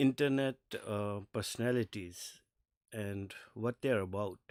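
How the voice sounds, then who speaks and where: A man with a non-native accent speaks with lively intonation in a very clean recording with a silent background and a dry, close sound with no echo. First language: not English. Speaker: streamer reacting to videos. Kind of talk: casual live stream commentary. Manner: halting, many fillers; slight stutter.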